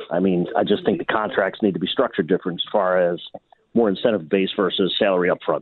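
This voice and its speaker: This man talks at a very fast pace with a fairly low pitch and an American accent. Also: fairly even intonation, very even loudness. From Buffalo, New York. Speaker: caller. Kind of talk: radio call-in.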